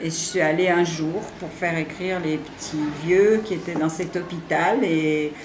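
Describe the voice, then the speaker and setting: Audible room echo and noticeable background noise surround a woman who talks fairly slowly. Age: 70s. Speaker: writing facilitator, retired. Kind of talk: interview. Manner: hesitant, many fillers.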